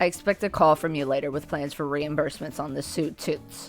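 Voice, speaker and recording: Over clear music in the background, a woman puts on a gruff, raspy character voice with a very deep, low pitch, fairly even intonation and a fairly quick pace. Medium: game stream. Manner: gruff, condescending.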